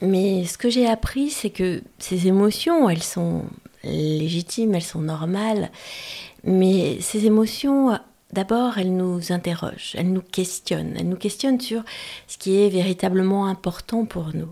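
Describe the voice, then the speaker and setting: A woman with an unremarkable speaking voice talks at a fairly slow pace and medium pitch, with ordinary pitch variation, on a very clean recording with a silent background. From France, Auvergne. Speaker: pilot and speaker. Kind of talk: interview. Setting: her home.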